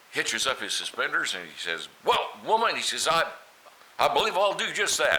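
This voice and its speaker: With an American accent, a man talks at a moderate pace. Noticeable background noise is present. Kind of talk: joke telling. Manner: folksy storytelling.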